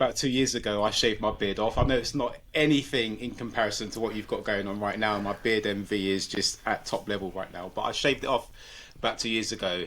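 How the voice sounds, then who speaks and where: On a very clean recording with a silent background, a man with a London accent and fairly low pitch talks at a very fast pace with fairly even intonation. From London, England. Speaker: podcast co-host. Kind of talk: casual chat.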